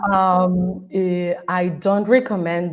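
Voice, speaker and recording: A woman with a Mexican accent in a very clean recording with a silent background. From Mexico. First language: Spanish. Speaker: strategist and coach. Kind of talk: podcast interview. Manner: hesitant, many fillers.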